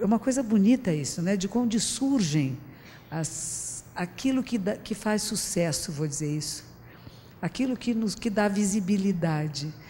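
Somewhat breathy, with a dark, mellow tone, a woman speaks at a fairly slow pace with lively intonation. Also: medium pitch for a woman. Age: 60s. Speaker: Buddhist teacher giving public talk. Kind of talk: public talk. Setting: stage with audience. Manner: conversational.

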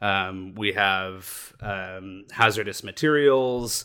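A bright, sharp tone with an American accent, on a very clean recording with a silent background. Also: man. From Southern California. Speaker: cave rescue team commander. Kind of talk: podcast interview.

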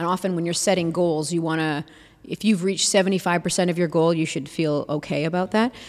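In a very clean recording with a silent background, a woman with an unremarkable speaking voice talks at a fairly low pitch and a moderate pace, her intonation fairly even. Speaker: city council candidate. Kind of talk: interview.

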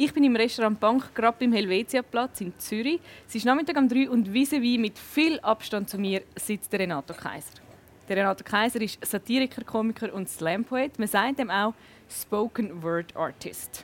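A woman's ordinary speaking voice, fairly high and lively in intonation, at a moderate pace, dry and close with no echo. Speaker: talk show host. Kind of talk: casual interview; scripted intro. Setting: restaurant.

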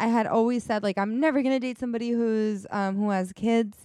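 A woman with an American accent talks at a moderate pace in a plain, everyday voice with fairly even intonation. The recording is very clean and dry, close with no echo and a silent background. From New York. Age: 20s. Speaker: podcast co-host. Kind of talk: casual chat.

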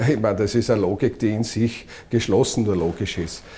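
A somewhat breathy, fairly low male voice at a moderate pace. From Austria, eastern Styria. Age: 50s. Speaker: politician. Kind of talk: interview.

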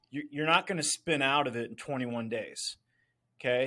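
In an ordinary speaking voice, a man speaks at a moderate pace with a medium pitch and fairly even intonation, recorded very cleanly over a silent background. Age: 50s. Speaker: author and financial entrepreneur. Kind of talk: casual interview chat.

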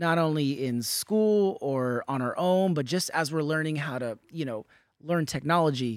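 A man with a normal speaking voice, fairly high pitch and ordinary pitch variation, at a moderate pace on a very clean recording with a silent background. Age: 30s. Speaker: podcast host and artist. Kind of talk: interview conversation; scripted intro.

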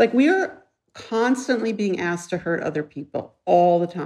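A woman has a plain, everyday voice at a medium pitch. Her intonation is lively. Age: 60s. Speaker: author and activist. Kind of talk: interview conversation.

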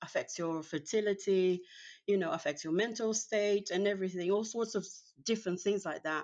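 Speaking in a Portuguese accent, a woman keeps a medium pitch and fairly even intonation. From Brazil. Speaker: professional organizer and cleaning coach. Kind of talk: casual interview chat. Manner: hesitant, many fillers.

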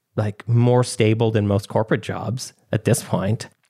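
A man with an ordinary speaking voice, medium pitch, and moderate pace. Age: 40s. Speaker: designer, software maker and author. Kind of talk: interview conversation.

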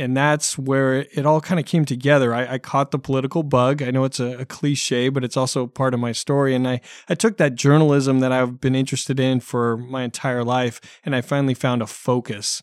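A man with a West Coast US accent talks at a fairly quick pace. The recording is very clean with a silent background and a dry, close sound with no echo. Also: medium pitch for a man, hardly any pauses. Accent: General American (West Coast). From US Pacific Northwest (Oregon). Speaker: election analyst. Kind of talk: interview. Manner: halting.

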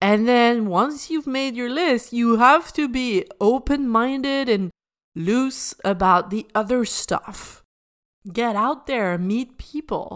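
Very slowly, a woman speaks with a fairly high pitch and lively intonation on a very clean recording with a silent background. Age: 30s. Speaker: life coach and podcast host. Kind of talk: solo podcast monologue.

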